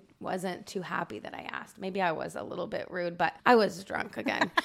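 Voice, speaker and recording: A woman with a medium pitch and an American accent speaks at a moderate pace. Noticeable background noise is present. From Indiana, US Midwest. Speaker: TikTok creator. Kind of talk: casual chat.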